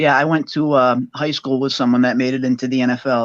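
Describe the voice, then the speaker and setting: Here a man speaks at a very fast pace with a Boston accent. His medium-pitched delivery is monotone and flat. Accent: thick Boston. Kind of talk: casual chat.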